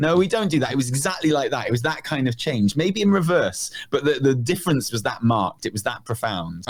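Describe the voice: Talking at a fairly quick pace with hardly any pauses, a man uses a fairly high pitch and very wide pitch swings.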